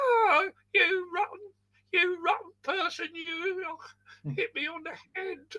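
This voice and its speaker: An extremely high, squeaky put-on character voice moves at a fairly slow pace. Long pauses break it up frequently. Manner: indignant, aggrieved.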